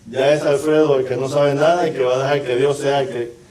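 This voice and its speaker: Fairly high pitch from a man at a moderate pace, with audible room echo and noticeable background noise. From Puerto Rico (Santurce). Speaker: pastor. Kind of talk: testimony.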